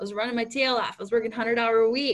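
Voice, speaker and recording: A woman with an American accent speaks in a high voice. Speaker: real estate team leader and trainer. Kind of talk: training talk. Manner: fast.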